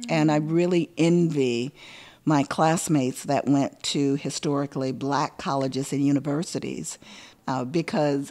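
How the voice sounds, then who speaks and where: A woman with a Southern US accent speaks at a moderate pace in a very deep, low pitch, her tone dark and mellow, with ordinary pitch variation on a very clean recording with a silent background. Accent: Southern US (Georgia). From US South, rural Hancock County, Georgia. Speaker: professional storyteller. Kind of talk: interview conversation. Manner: thoughtful, with fillers and repetitions.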